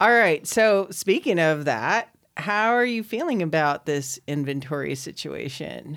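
Very wide pitch swings at a fairly slow pace, on a very clean recording with a silent background. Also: woman, very deep, low pitch for a woman. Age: 50s. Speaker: podcast host. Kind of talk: casual chat. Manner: loud.

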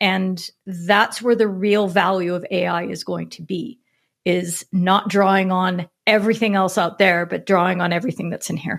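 On a very clean recording with a silent background, a woman with an unremarkable speaking voice and medium pitch speaks at a moderate pace with fairly even intonation. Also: big swings in loudness. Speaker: podcast co-host, writer. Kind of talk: casual panel chat. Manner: blunt, opinionated.

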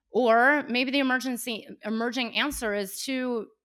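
A woman speaks with a West Coast American accent. Her tone is animated, bright and sharp. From California, Bay Area (Cupertino). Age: 40s. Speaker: podcaster and coach. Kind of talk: casual interview chat.

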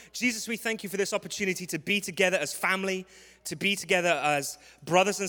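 Speaking very fast with a London accent, a man uses a high pitch and a tone that is warm yet bright and sharp. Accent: London English, clear. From London, England. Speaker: visiting preacher. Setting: church with congregation. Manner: humorous, warm.

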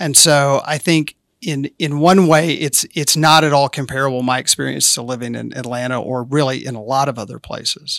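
Speaking at a moderate pace with hardly any pauses, a man with a slight Southern US accent has a fairly high pitch and fairly even intonation, in a very clean recording with a silent background and a dry, close sound with no echo. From rural Arkansas. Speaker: city council candidate. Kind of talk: interview.

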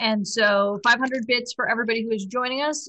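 This is an ordinary speaking voice, moving at a moderate pace with fairly even intonation. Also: woman. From Chicago. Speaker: tabletop role-playing game player. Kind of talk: casual chat during a live-streamed role-playing game.

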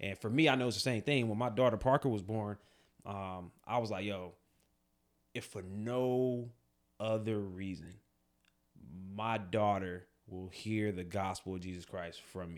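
A man speaks at a fairly low pitch with ordinary pitch variation. He leaves long, frequent pauses, and the recording is very clean with a silent background. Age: 30s. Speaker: podcast co-host, army veteran and police officer. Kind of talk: casual chat.

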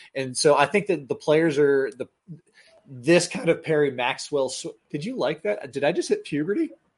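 A man with an American accent has a plain, everyday voice. His pitch is fairly high, his intonation lively and his pace moderate. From Florida. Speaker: podcast host. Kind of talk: casual banter about golf betting. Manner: casual, rambling, joking.

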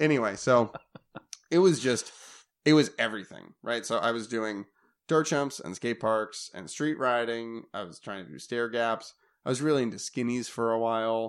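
A man speaks at a medium pitch and a moderate pace, in an unremarkable speaking voice with ordinary pitch variation. His loudness swings widely. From Minnesota. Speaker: pro downhill mountain bike racer. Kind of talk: casual chat.

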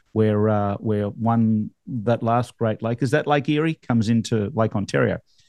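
At a moderate pace and with ordinary pitch variation, the voice comes through dry and close with no echo, against a quiet background. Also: man, medium pitch for a man. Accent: Australian. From Australia. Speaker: real estate podcast host. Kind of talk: casual chat. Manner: animated.

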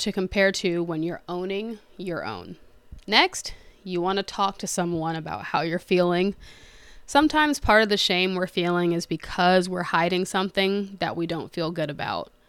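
In a very clean recording with a silent background, a normal speaking voice with an American accent moves at a moderate pace with ordinary pitch variation. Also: woman. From United States. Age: 20s. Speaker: podcast host, entrepreneur. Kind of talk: scripted monologue.

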